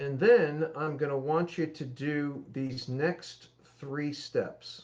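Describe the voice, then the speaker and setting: The voice is somewhat breathy and shows ordinary pitch variation. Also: man. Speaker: economics commentator. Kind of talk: explainer lecture. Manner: slow; articulate.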